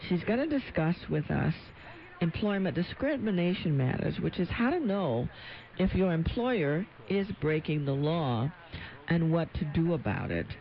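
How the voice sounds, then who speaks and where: Her loudness very even and her intonation lively, a woman uses an ordinary speaking voice at a fairly low pitch and a moderate pace. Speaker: radio legal talk show host and attorney. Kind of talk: radio call-in talk show. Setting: radio studio.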